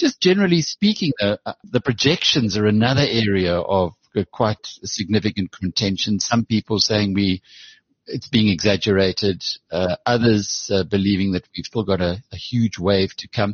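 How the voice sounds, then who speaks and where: A man with an ordinary speaking voice, a fairly low pitch and ordinary pitch variation, at a moderate pace. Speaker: podcast host. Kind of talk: news bulletin and interview.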